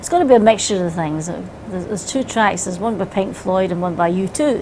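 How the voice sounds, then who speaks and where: With a Scottish accent, a woman talks at a fairly quick pace and with ordinary pitch variation over noticeable background noise. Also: medium pitch for a woman. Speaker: singer. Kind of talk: interview answer.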